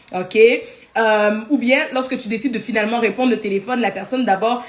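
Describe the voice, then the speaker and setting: A woman's fairly high-pitched voice with fairly even intonation over noticeable background noise. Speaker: life coach. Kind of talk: live teaching. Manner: fast.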